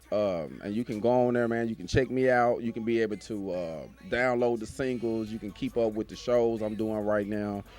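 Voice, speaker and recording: At a moderate pace with hardly any pauses, a man talks in a medium pitch with ordinary pitch variation. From US South, Arkansas. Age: 30s. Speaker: rapper. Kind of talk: casual interview.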